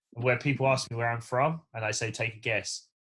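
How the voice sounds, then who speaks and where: This man talks very fast. He has an English accent. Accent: English accent, often mistaken for Australian. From England, south London. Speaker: race engineer and drifter. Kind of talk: casual chat. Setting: podcast.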